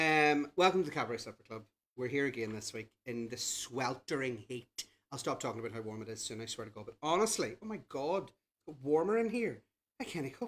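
A man at a fairly quick pace, with very wide pitch swings and big swings in loudness. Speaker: cabaret host. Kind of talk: live stream host chat. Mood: playful, cheeky, chatty.

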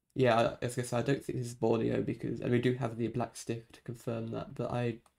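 Vocal fry marks a man's monotone, flat intonation as he speaks at a fairly quick pace over a quiet background. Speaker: gaming streamer. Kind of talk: gameplay commentary.

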